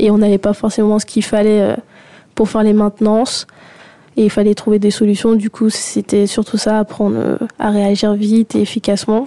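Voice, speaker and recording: A woman speaks at a moderate pace in a flat monotone with very even loudness. Her voice is fairly high, with a dark, mellow tone. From Guadeloupe. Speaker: young engineer job seeker. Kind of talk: radio interview.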